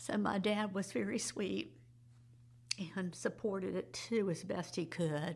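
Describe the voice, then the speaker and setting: A woman with an American accent talks at a fairly slow pace, leaving long, frequent pauses. Her loudness stays very even, her intonation is lively, and vocal fry runs through her voice. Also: medium pitch for a woman. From Jacksonville, Florida. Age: 60s. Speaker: retired school counselor, adoptee. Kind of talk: interview, personal testimony.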